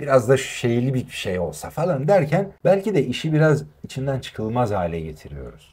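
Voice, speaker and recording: A man with a medium-pitched, somewhat breathy voice talks at a moderate pace with hardly any pauses and very wide pitch swings. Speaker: voice actor. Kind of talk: interview answer.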